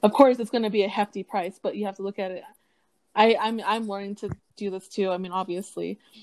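A woman talks at a very fast pace in an animated tone, her loudness swinging widely, with a dry, close sound and no echo. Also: medium pitch for a woman. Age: 20s. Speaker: podcast co-host. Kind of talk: casual chat. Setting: home recording with earphone mic.

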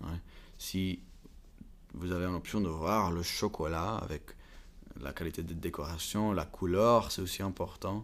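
A man speaks with a very deep, low pitch and fairly even intonation. He leaves long, frequent pauses. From Belgium (Flanders, Bruges) and Prague, Czech Republic. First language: English, Flemish, Czech (speaking French). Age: 20s. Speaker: university student, chocolate family business. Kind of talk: interview. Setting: chocolate museum. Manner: halting, hesitant.

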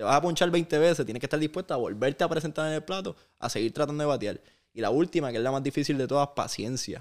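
Talking very fast, a man with a fairly high pitch and ordinary pitch variation comes through on a very clean recording with a silent background. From Puerto Rico (Aguadilla, west; later Vega Baja). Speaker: basketball broadcaster and sports executive. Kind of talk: interview. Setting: at his home.

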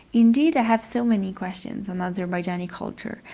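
An Italian accent marks this woman's somewhat breathy voice, which has ordinary pitch variation. She speaks at a moderate pace against a quiet background. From Italy. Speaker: podcast co-host. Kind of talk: casual interview chat; reading aloud.

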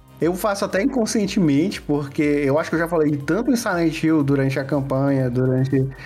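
A man's fairly high voice, fairly quick with hardly any pauses, ordinary pitch variation and very even loudness, over noticeable background noise. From Piauí, Brazil (Piripiri). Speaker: game developer. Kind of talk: casual interview chat.

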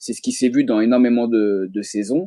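A man talks with a dark, mellow tone. His pitch variation is ordinary. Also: dry, close sound with no echo. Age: 30s. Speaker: psychologist, reality game fan. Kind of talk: casual chat.

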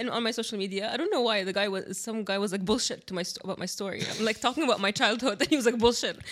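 Hardly any pauses interrupt this very fast speech, which has ordinary pitch variation and noticeable background noise. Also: woman, fairly high pitch for a woman. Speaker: podcast host. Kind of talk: casual chat.

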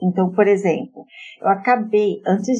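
A woman at a fairly slow pace, an unremarkable speaking voice with ordinary pitch variation. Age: 40s. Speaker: journalist and marketing project manager. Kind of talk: interview.

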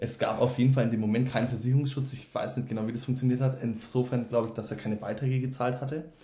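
Delivered at a very fast pace with hardly any pauses, the speech runs in a monotone, flat intonation amid audible room echo. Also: man, medium pitch for a man. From Franconia, Germany (Wendelstein near Nuremberg). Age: 20s. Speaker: student. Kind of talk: casual chat.

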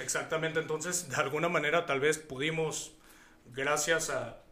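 A fairly high-pitched man's voice over noticeable background noise. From Mexico, Hidalgo. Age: 30s. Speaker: singer-songwriter. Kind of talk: interview.

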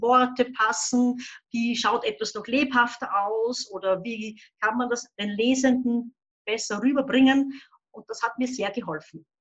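Her loudness swings widely as a woman speaks at a high pitch, at a fairly slow pace and with fairly even intonation. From Upper Austria, near the Bavarian border. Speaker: children's book and crime author, illustrator. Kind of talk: casual interview.

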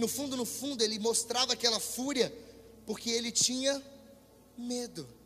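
Background noise is noticeable as a man speaks at a moderate pace with long, frequent pauses. His pitch is extremely high. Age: 20s. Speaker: preacher. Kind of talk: sermon. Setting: church with congregation, livestreamed. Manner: animated.

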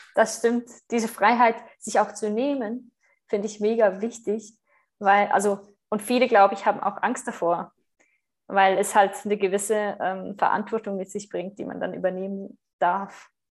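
A woman at medium pitch with a Swiss German accent, monotone, flat intonation, and a moderate pace. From Switzerland. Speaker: spiritual retreat leader and podcaster. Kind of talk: interview conversation.

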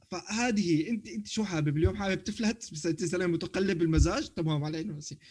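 A man speaks in a high voice with ordinary pitch variation and hardly any pauses. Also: fairly quick pace. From Syria. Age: 30s. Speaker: podcast co-host. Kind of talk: casual chat.

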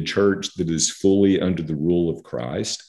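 A man talks with an American accent in a dark, mellow tone and ordinary pitch variation. The recording is very clean, with a silent background. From central Texas. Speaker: theologian. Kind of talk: interview.

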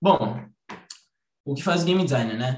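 At a fairly quick pace, a man talks in a somewhat breathy voice. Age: 20s. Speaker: game designer. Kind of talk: online talk presentation.

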